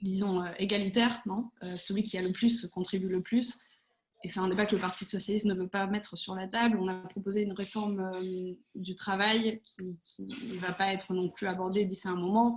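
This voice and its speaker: A woman's somewhat breathy voice, flat and monotone in intonation. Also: medium pitch for a woman, moderate pace. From Spain and France. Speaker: political adviser. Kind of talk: online panel debate. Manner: hesitant, many fillers.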